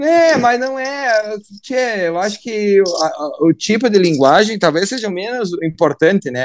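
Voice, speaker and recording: A man speaks at a fairly slow pace. His high pitch swings very widely. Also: hardly any pauses. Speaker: politician. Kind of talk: radio interview.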